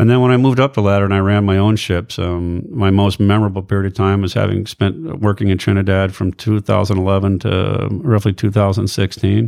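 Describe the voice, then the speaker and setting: A man's plain, everyday voice, fairly low in pitch, with fairly even intonation, a fairly quick pace, and hardly any pauses. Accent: American. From US, Air Force bases all over. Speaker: ship captain. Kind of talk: casual interview chat. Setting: host's living room.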